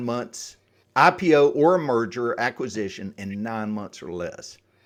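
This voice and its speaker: A man with a slight Southern US accent and ordinary pitch variation, on a very clean recording with a silent background. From US South, Atlanta, Georgia area. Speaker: exit planning advisor. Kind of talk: podcast interview.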